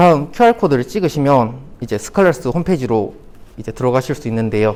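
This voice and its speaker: The pitch is medium for this man. He talks very fast. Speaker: conference speaker, beginner app developer. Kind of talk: conference talk. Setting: stage with audience.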